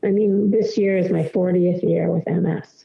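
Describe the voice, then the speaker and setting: A woman speaks in a fairly low voice. Her intonation is fairly even. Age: 60s. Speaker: MS advocate and writer. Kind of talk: podcast interview. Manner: halting, many fillers.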